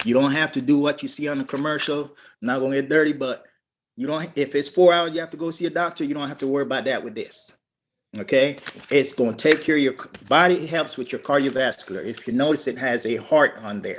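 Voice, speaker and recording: Against a quiet background, a man with a fairly high voice speaks at a very fast pace, with ordinary pitch variation and big swings in loudness. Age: 60s. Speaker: network marketing distributor, military veteran. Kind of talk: testimony.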